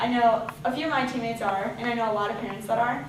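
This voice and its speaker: A woman with an American accent talks fairly quickly at a fairly high pitch. Audible room echo and noticeable background noise surround her. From Chicago, Illinois. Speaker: college student job applicant. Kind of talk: mock job interview.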